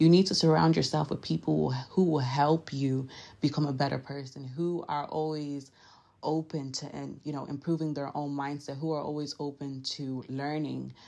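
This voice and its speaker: Against a quiet background, a woman with a very deep, low pitch and a dark, mellow tone speaks at a moderate pace with fairly even intonation. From Nigeria. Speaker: podcast host. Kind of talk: motivational talk. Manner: casual, chatty.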